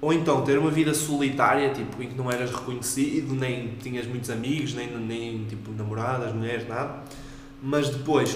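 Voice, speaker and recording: A man speaks at a medium pitch in a monotone, flat delivery. Noticeable background noise and audible room echo surround him. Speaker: podcast co-host. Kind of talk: casual chat.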